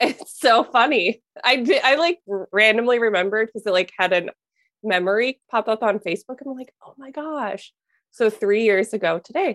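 A woman with an unremarkable speaking voice and an American accent talks at a fairly high pitch and moderate pace, with lively intonation and big swings in loudness. The sound is dry and close, with no echo. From US Midwest, Minnesota. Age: 20s. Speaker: mentor for highly sensitive people. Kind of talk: casual interview chat.

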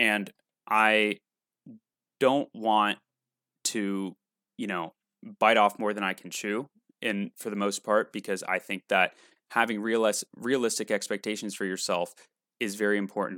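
A man's fairly low, monotone, flat voice with long, frequent pauses on a very clean recording with a silent background. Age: 20s. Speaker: podcast host. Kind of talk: solo monologue podcast. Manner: talkative, rambling with fillers.

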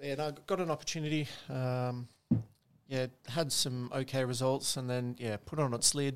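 A man speaks at a medium pitch with an Australian accent. His pace is moderate and his intonation fairly even. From Sydney, Australia. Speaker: podcast guest. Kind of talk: casual chat. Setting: apartment.

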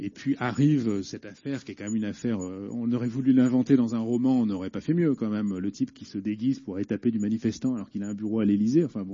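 Hardly pausing at all, a man speaks very fast. His voice sits at a medium pitch and varies in an ordinary way. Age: 40s. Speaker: journalist. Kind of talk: public debate. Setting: prison hall with audience.

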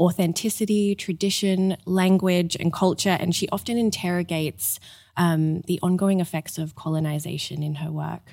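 In a very clean recording with a silent background, a woman speaks at a moderate pace and fairly low pitch with fairly even intonation. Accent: Australian. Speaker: museum curator. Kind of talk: interview intro, explanatory chat.

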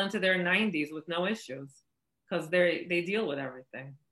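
This woman has a plain, everyday voice. Her pitch is medium, with ordinary variation. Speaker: oracle healer, spiritual mentor. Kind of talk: explanatory interview answers. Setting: video call.

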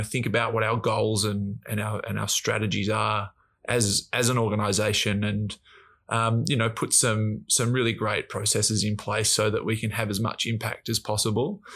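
A man's fairly low, flat, monotone voice with an Australian accent, at a moderate pace, in a very clean recording with a silent background. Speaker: professional footballer. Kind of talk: casual chat. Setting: studio.

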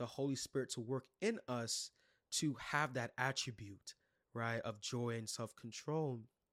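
A man sounds enthusiastic in a very clean recording with a silent background and a dry, close sound with no echo. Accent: New York. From Brooklyn, New York. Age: 20s. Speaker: youth leader and podcast host. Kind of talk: solo podcast teaching talk. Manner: casual, enthusiastic.

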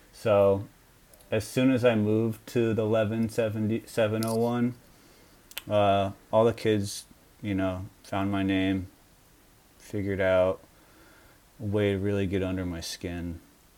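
Delivered in an American accent, the speech moves at a fairly slow pace with long, frequent pauses and a monotone, flat intonation. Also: man, fairly low pitch for a man. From Long Island, New York. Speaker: anime fan. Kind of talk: comedic mock interview.

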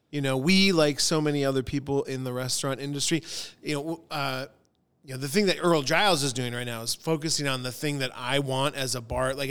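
Here is a man with an American accent and an ordinary speaking voice. His pitch is fairly high, his pace fairly quick, and his intonation fairly even. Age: 40s. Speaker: bartender and restaurateur. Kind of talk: casual chat.

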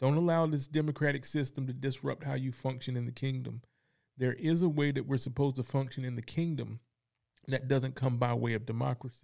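Using an ordinary speaking voice, a man with an American accent talks at a fairly quick pace, with medium pitch and fairly even intonation. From North Carolina, Fayetteville. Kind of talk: faith discussion.

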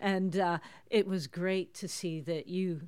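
In a very clean recording with a silent background, a woman with a Canadian accent and a medium pitch uses an ordinary speaking voice at a fairly slow pace. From Toronto, Canada. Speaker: prophetic minister. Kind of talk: interview.

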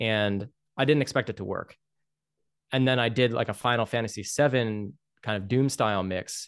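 A man at medium pitch with ordinary pitch variation, a moderate pace, long, frequent pauses and a quiet background. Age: 30s. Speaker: video game composer. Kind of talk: interview.

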